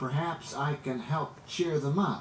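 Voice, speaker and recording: A man puts on a character voice, pitched fairly high and spoken at a fairly slow pace over clear background noise. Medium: read story. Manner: modest, jolly.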